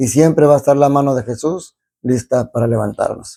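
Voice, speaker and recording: This man's tone is dark and mellow, his pitch fairly high. He keeps a moderate pace with ordinary pitch variation. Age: 60s. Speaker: deacon. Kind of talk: homily. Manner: halting.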